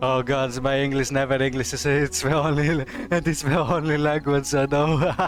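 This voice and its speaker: With music playing in the background, a man speaks at a moderate pace and a very even loudness. His pitch is fairly high and his intonation is monotone and flat. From Greece. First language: Greek. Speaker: streamer. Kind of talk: casual chat. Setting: live stream.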